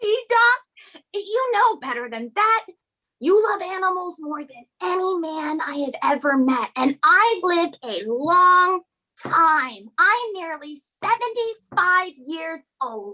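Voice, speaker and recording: Fairly slow, extremely high-pitched put-on character voice from a woman. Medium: stage play. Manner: emphatic, coaxing.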